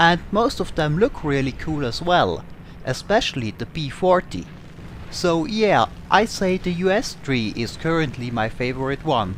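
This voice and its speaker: The speaker has an Austrian accent and a fairly slow pace. The pitch swings very widely. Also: man, fairly high pitch for a man. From Austria, Tyrol. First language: German. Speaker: gaming YouTuber. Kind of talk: Q&A over gameplay.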